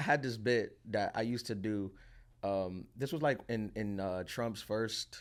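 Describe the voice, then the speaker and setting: A man with a New York accent, fairly low pitch, ordinary pitch variation and a fairly slow pace. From Queens, New York (Dominican family). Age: 30s. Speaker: comedian. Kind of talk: casual interview chat. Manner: halting, many fillers and restarts.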